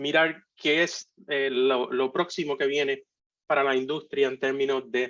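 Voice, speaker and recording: Speaking with a Puerto Rican accent, a man talks fairly slowly at a fairly high pitch. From Puerto Rico. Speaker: architect and industry speaker. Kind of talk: conference talk. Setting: virtual conference. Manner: halting, many fillers.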